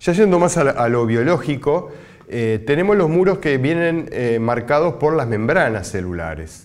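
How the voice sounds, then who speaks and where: A man talks at a fairly slow pace in a fairly high pitch. His pitch swings very widely. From Uruguay. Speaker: scientist; university lecturer. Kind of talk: recorded lecture. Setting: pre-recorded presentation, not physically present. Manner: halting, frequent filler sounds. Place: studio.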